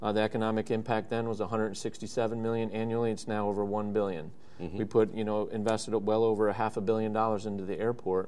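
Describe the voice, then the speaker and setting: A man's fairly low, dark, mellow voice with an American accent, very fast and monotone, with flat intonation and hardly any pauses. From Wisconsin, US Midwest. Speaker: aviation event CEO, former airport director. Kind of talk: live radio interview.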